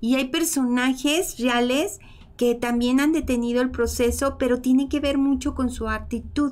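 At a high pitch and fairly slow pace, a woman speaks. Her intonation is fairly even. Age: 50s. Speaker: emotional healing and bioenergy teacher; bioenergy teacher. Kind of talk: teaching talk in a live stream. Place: home room.

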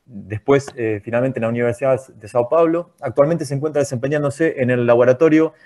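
A man speaks at a very fast pace with a medium pitch and ordinary pitch variation. His tone is dark and mellow. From Argentina. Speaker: seminar moderator; seminar host. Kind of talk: formal introduction. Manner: halting. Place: home room. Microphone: earbuds.

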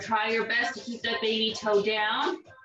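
A woman speaks at a high pitch and a fairly slow pace. Light background noise and audible room echo are present. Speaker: fitness instructor. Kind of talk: exercise class instruction. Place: home room. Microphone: camera far.

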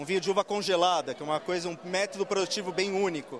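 Amid noticeable background noise, a man speaks very fast at a high pitch with fairly even intonation, in a dry sound with no echo. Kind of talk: interview answer. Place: hall. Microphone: handheld.

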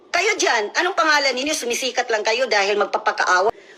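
Noticeable background noise sits under a woman talking at a very fast pace in a raised, projected voice with very wide pitch swings. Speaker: military spouse. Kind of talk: angry rant. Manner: animated.

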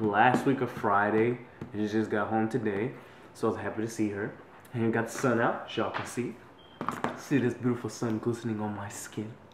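A man speaks at a fairly quick pace with monotone, flat intonation. Noticeable background noise runs underneath. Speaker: vlogger. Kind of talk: casual vlog chat. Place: kitchen. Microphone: phone near.

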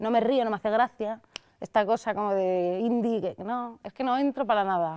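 At a moderate pace, a woman in a Madrid accent speaks with a fairly high pitch and ordinary pitch variation. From Madrid, Spain; Spain. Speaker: critic and video creator; video creator. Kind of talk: interview. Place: studio.

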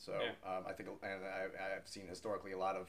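A man with a very deep, low pitch talks with an American accent. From United States. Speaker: rock singer. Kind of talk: interview answer. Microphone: camera far.

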